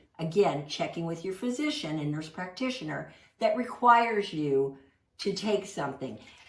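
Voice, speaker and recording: A woman speaks in an animated tone with very wide pitch swings. Audible room echo surrounds her voice. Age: 60s. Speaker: plant-based cooking instructor. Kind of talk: cooking class presentation.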